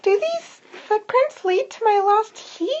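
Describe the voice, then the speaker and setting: In a put-on character voice, the speaker goes squeaky at an extremely high pitch and a fairly slow pace. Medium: read story.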